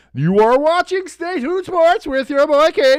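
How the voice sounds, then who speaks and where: The pitch sits high. It's a put-on character voice. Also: moderate pace. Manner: show-host announcing.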